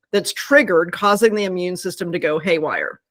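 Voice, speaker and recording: With lively intonation, a woman speaks on a very clean recording with a silent background. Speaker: scientist and pet product company co-founder. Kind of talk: interview explanation. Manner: fast.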